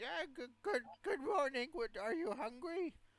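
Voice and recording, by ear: A put-on character voice with a high pitch. The pace is moderate.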